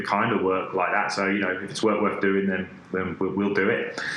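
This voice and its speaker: In a British accent, a man with a fairly low pitch speaks at a moderate pace in a monotone, flat delivery, with audible room echo and noticeable background noise. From UK. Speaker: design agency creative director. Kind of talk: podcast interview. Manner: halting, many fillers and repetitions.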